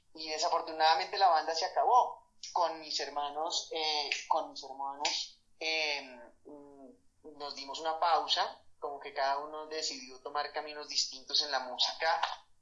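At a fairly slow pace, a man uses an ordinary speaking voice with fairly high pitch, fairly even intonation and big swings in loudness. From Colombia, Bogotá. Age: 30s. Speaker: musician and sculptor. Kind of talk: interview.

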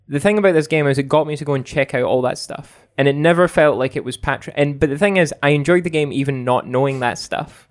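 A man's very fast speech in a Scottish accent, fairly high in pitch, with fairly even intonation. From Scotland. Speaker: video game reviewer. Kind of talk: casual chat.

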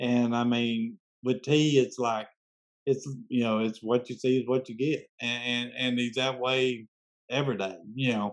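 A man with a Southern US accent speaks at a medium pitch and a fairly slow pace in a monotone, flat intonation. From US South, Memphis, Tennessee. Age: 60s. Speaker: podcast host interviewing musicians. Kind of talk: casual interview. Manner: halting, many fillers and restarts.

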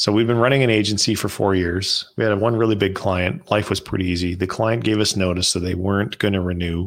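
In an unremarkable speaking voice, a man with a Canadian accent talks at a fairly quick pace and a fairly low pitch. His intonation is fairly even, his loudness very even, with hardly any pauses. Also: very clean recording, silent background. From Canada. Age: 50s. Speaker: entrepreneur. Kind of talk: casual interview chat.

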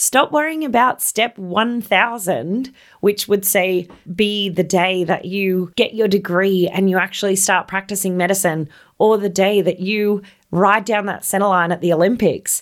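With an Australian accent, a woman speaks fairly slowly in an enthusiastic, warm tone. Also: medium pitch for a woman, ordinary pitch variation, very clean recording, silent background. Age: 30s. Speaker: podcast host, equestrian rider. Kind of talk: solo motivational podcast monologue.

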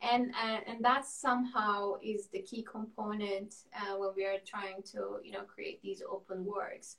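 Amid noticeable background noise, a woman with a fairly high pitch talks at a fairly slow pace and with fairly even intonation. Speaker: architect, studio cofounder. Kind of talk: interview. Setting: video call.

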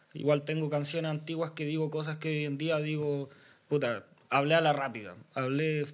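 This man talks with a Chilean accent, his pitch fairly high and his intonation fairly even. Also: moderate pace. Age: 20s. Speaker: freestyle rapper. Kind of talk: casual chat.

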